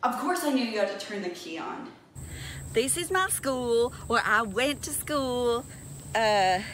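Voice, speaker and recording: Against light background noise, a woman with a high pitch speaks at a fairly slow pace. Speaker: vlogger. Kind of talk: casual comedic vlog chat. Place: open country. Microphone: phone near.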